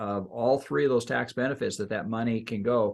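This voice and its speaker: A man's unremarkable speaking voice at a medium pitch with ordinary pitch variation. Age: 60s. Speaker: financial advisor. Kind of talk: casual chat.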